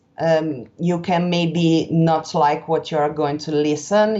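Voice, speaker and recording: A woman speaks very slowly in a strong Italian accent, her pitch very deep and low. Her intonation stays monotone and flat. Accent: thick Italian. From Italy. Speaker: interview guest. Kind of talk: podcast interview. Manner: halting.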